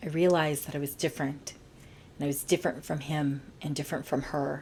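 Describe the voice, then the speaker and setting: Speaking at a very fast pace, a woman uses a very deep, low pitch, a somewhat breathy voice and fairly even intonation. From US, Bolivian-American family. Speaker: podcast host. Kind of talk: personal storytelling podcast. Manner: casual, with fillers like uh and um.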